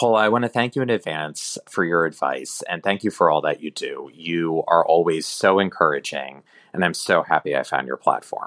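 A man's very deep, low voice with vocal fry and lively intonation, at a moderate pace with hardly any pauses, dry and close with no echo against a quiet background. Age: 30s. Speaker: listener asking a question. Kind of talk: recorded voicemail question.

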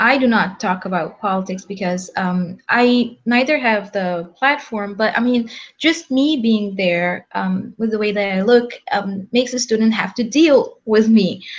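A woman speaks at a fairly slow pace, somewhat breathy. Her pitch is fairly high and varies in an ordinary way. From Egypt. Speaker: PhD student. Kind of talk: panel discussion. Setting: video call.

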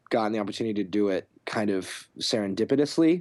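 In a plain, everyday voice, a man speaks at a moderate pace with lively intonation, in a very clean recording with a silent background. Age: 20s. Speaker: music supervisor. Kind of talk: interview.

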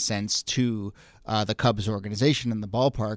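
The recording is very clean with a silent background. A man speaks in a plain, everyday voice at medium pitch with ordinary pitch variation. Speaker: podcast host. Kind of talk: interview conversation.

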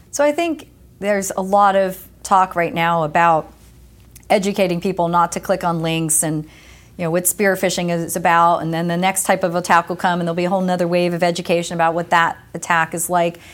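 A woman with a plain, everyday voice speaks at a fairly quick pace, her fairly low pitch held in fairly even intonation. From US Northeast (New Jersey). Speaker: tech company executive. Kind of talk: interview.

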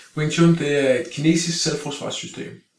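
A man speaks with audible room echo. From Denmark, Greve (Copenhagen area). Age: 40s. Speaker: martial arts instructor. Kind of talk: casual interview. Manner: halting, many fillers and repeated words.

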